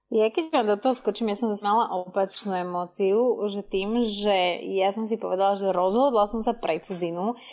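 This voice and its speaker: A woman with a normal speaking voice, medium in pitch with ordinary pitch variation, talks at a fairly slow pace on a very clean recording with a silent background. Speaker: guest who studied abroad. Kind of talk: casual chat. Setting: live audio room.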